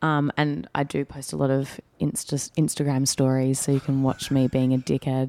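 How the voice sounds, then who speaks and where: A woman with an Australian accent talks at a moderate pace with hardly any pauses, her pitch very deep and low and her tone dark and mellow. Her intonation is fairly even, and the sound is dry and close with no echo. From Perth, Australia. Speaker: actress. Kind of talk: casual interview chat.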